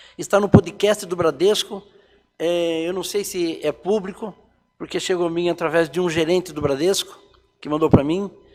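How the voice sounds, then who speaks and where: Music plays in the background. The speaker keeps a moderate pace and fairly even intonation. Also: man, high pitch for a man. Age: 60s. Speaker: church elder giving life testimony. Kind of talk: testimony.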